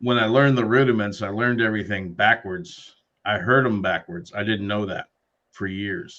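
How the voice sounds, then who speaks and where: A man with a plain, everyday voice speaks at a moderate pace in a fairly low pitch, with ordinary pitch variation. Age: 60s. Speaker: podcast co-host, drummer. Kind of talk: casual chat.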